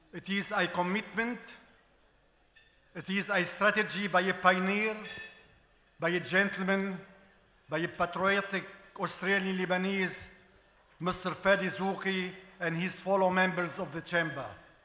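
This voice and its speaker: A man with an Arabic accent speaks in a raised, projected voice at a high pitch, his intonation monotone and flat. His pace is moderate with long, frequent pauses, and noticeable background noise is present. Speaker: journalist and media figure. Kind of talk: formal gala speech. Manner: formal.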